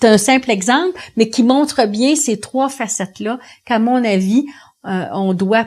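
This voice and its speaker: Captured on a very clean recording with a silent background, a woman with a fairly high voice speaks at a very slow pace. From Quebec, Montreal. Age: 60s. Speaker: union leader. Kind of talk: interview testimony.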